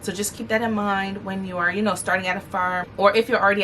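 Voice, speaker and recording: There is an animated tone to this woman's medium-pitched voice. Noticeable background noise runs underneath. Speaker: lawyer and lifestyle vlogger. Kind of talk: casual advice vlog. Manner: fast.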